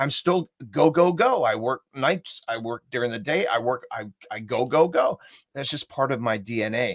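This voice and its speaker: In a very clean recording with a silent background and a dry, close sound free of echo, a man speaks in an unremarkable speaking voice. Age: 60s. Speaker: human behavior coach and trainer. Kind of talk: interview on live video chat.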